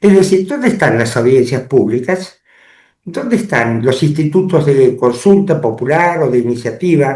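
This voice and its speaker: At a fairly slow pace, a man talks with lively intonation in a dark, mellow, somewhat breathy voice of fairly high pitch. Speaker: lawyer and public affairs commentator. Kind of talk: interview. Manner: formal.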